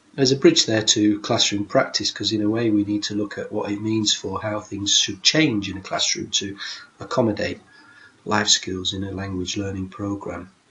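Fairly low in pitch, a man keeps a moderate pace and fairly even intonation. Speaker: teacher presenter. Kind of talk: lecture. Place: home room. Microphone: webcam.

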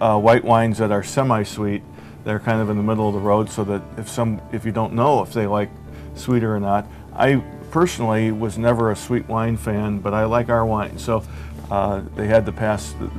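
A man with a fairly low pitch over clear music in the background. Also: ordinary pitch variation, moderate pace. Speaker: guest. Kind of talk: interview answer. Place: bar. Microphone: lapel.

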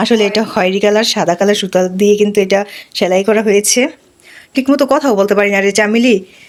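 Behind this woman's speech there is noticeable background noise. Her voice is medium in pitch. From Bangladesh, Barisal region. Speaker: village life vlogger. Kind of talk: casual product showcase vlog. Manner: animated, exclamatory.

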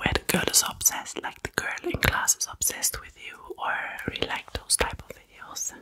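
A woman is whispering at a moderate pace. She hardly pauses at all. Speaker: ASMR content creator. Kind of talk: casual Q&A chat. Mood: a bit foggy, apologetic. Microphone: studio mic.

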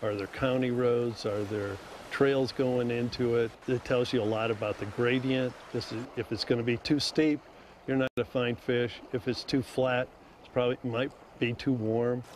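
Over light background noise, a man speaks at a moderate pace with monotone, flat intonation. The sound is dry, with no echo. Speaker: fishing guide. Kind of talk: interview answer. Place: waterside.

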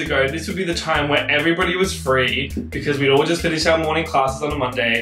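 Clear music plays behind a man talking at a fairly quick pace, with audible echo in the room. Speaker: law student vlogger. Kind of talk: casual vlog chat. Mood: wry, animated complaining. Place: home room. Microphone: camera far.

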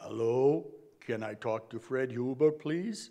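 In a put-on character voice, a man sounds gruff, speaking at a fairly slow pace with a medium pitch. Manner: disguised.

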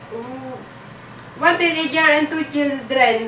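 A woman with a high-pitched voice projects loudly. The room echo is audible, and there is light background noise. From Philippines, Isabela province. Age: 20s. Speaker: domestic helper job applicant. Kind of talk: job interview. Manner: formal. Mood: polite, smiling, earnest. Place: empty room.

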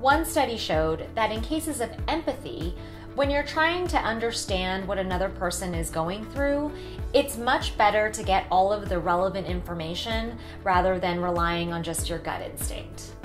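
At a moderate pace, a woman talks with clear music in the background. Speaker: vlogger. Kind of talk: casual vlog chat. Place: home room.

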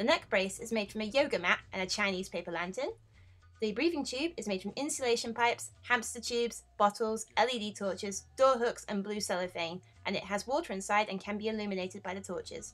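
Music plays in the background as the speaker talks at a fairly quick pace with ordinary pitch variation. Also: woman, fairly high pitch for a woman. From United Kingdom. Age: 20s. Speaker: cosplayer and makeup artist. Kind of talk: voice-over narration.

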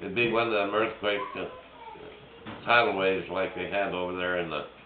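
A man speaks at a fairly slow pace with a fairly low pitch and fairly even intonation. Noticeable background noise sits under his voice. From Switzerland. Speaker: war veteran. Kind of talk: casual conversation. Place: home room. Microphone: phone near.

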